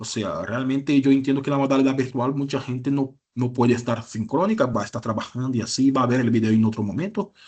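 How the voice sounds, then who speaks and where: A man at a very fast pace with hardly any pauses, with a Brazilian accent, a medium pitch and ordinary pitch variation. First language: Portuguese (speaking Spanish). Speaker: university lecturer. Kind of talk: lecture. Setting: online class.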